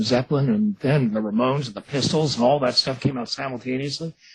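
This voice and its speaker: This man has a somewhat breathy voice. He talks in an American accent. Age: 60s. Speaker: author and visual effects artist. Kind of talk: radio interview. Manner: casual, animated.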